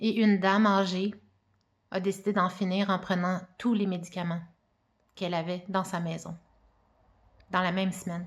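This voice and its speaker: A woman speaks in a medium-pitched, somewhat breathy voice. Her pace is fairly slow and her intonation is monotone and flat. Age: 40s. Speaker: mother giving personal testimony. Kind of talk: testimony.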